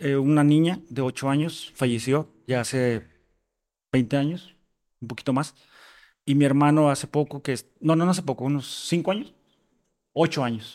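The recording is very clean with a silent background. A man speaks at a fairly high pitch and a moderate pace, his intonation fairly even. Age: 30s. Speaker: podcast guest sharing his mental health story. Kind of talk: personal testimony. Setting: home patio recording.

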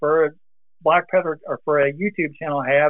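A man at a fairly high pitch and a moderate pace. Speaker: muzzleloading YouTuber, retired mail carrier. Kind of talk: casual interview chat.

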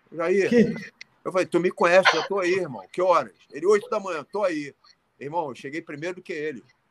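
A man speaks fairly quickly in a high voice with ordinary pitch variation, the sound dry and close with no echo. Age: 60s. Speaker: martial arts and fitness coach. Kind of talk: casual interview. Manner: halting, repetitive.

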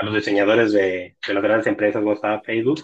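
A man talks here. The intonation is flat and monotone. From Mexico, Tampico, Tamaulipas. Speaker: technology researcher. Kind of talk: casual interview.

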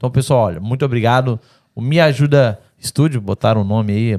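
This man speaks fairly quickly with lively intonation. The recording is very clean and dry, close with no echo, over a silent background. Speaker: podcast host. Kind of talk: casual chat. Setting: studio. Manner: animated.

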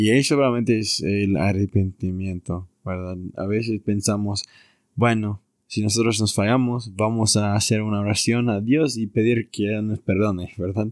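With an English accent, the speaker goes at a fairly slow pace and fairly even intonation, in a dry, close sound with no echo. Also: man, fairly low pitch for a man, very clean recording, silent background. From US Southwest (Arizona). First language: English (speaking Spanish). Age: 20s. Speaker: returned missionary, university student. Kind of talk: religious casual conversation.

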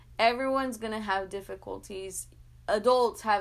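Fairly even intonation and a very slow pace in a woman's medium-pitched voice. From US-Mexico border, San Luis, Arizona. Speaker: podcast host. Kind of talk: motivational monologue.

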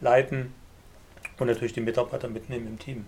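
A man speaks with fairly even intonation. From eastern Germany, Leipzig (Saxony). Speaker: online business entrepreneur and course lecturer. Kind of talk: casual interview chat.

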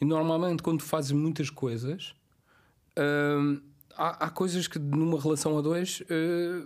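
Fairly even intonation from a man with a fairly high pitch, at a fairly slow pace. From Cape Verde. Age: 50s. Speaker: podcast guest. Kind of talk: casual chat. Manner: halting.

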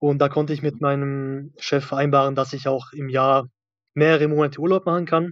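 This man's fairly high voice stays monotone and flat as he talks at a moderate pace. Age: 30s. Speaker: maintenance electronics technician, former coaching client. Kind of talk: interview testimony.

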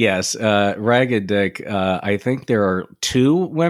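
The voice reads with lively intonation in an unforced reading voice.

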